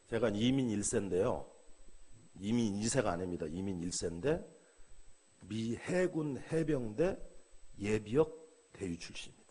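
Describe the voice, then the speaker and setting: A man talks at a fairly slow pace, with long, frequent pauses and very wide pitch swings. Audible room echo fills the recording. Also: medium pitch for a man. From South Korea. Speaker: pastor. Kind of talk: sermon. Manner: animated.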